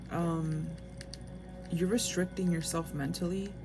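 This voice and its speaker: Fairly slow speech with music in the background and audible room echo. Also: woman. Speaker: tarot reader. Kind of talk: tarot reading. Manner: halting.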